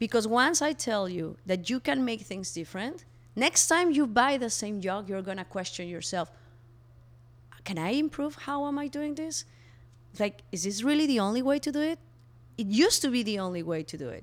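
A woman speaks with a Mexican accent at a moderate pace. Her fairly high voice makes very wide pitch swings. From Mexico. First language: Spanish. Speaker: co-founder of a refill store. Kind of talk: interview.

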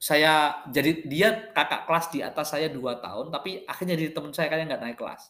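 Moderately paced speech from a man, fairly high in pitch and with ordinary pitch variation. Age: 40s. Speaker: podcaster. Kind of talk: monologue. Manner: halting.

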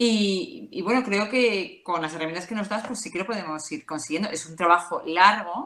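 Speaking at a moderate pace with hardly any pauses, a woman with an ordinary speaking voice has a medium pitch. Her intonation is lively, and her loudness swings a lot. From Madrid, Spain. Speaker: mother giving testimony. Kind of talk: testimony.

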